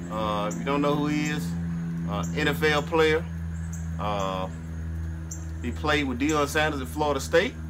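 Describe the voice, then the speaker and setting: Long, frequent pauses with music in the background. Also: man. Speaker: barbecue vlogger. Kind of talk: casual vlog chat. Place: garden. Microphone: phone near.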